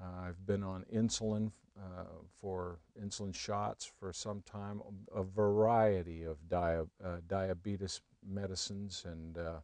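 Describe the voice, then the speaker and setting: Against a quiet background, a man with a very deep, low voice talks at a fairly slow pace and with fairly even intonation. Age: 60s. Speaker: customer testimonial. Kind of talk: testimony. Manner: halting, many fillers.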